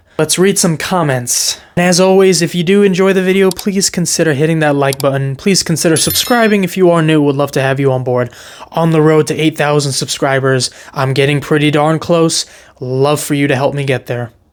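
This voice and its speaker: A man with an American accent talks fairly quickly at a fairly high pitch, using ordinary pitch variation. Background noise is noticeable. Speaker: football youtuber. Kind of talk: reacting to comments, casual. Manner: animated.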